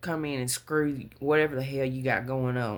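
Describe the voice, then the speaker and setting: On a very clean recording with a silent background, a woman talks at a moderate pace. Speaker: tarot reader. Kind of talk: tarot reading monologue. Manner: casual, conversational; stuttering at times.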